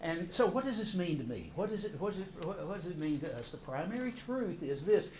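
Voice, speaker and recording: Pitch swings very widely at a moderate pace. The room echo can be heard. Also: man. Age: 60s. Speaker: counselor and course teacher. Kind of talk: lecture. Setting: church classroom with audience. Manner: halting, repeats words.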